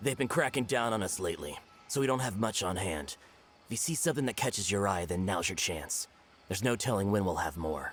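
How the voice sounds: A cartoonish character voice with a slightly husky edge, a fairly bright tone and lively intonation. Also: man, low pitch for a man, fairly quick pace.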